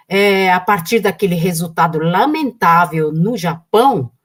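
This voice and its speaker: Very slow, somewhat breathy delivery with lively intonation. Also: woman. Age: 70s. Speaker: political activist. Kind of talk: live stream conversation.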